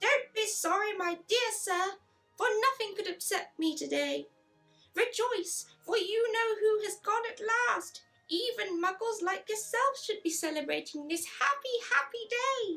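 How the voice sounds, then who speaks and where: Faint music plays in the background as a woman uses a put-on character voice. It is squeaky and delivered at a moderate pace. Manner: jubilant, gleeful.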